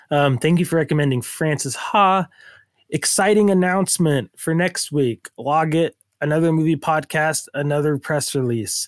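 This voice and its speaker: The recording is very clean, with a silent background. A man with an unremarkable speaking voice talks at a moderate pace and a fairly high pitch. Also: ordinary pitch variation, very even loudness. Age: 30s. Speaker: podcast co-host. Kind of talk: casual chat.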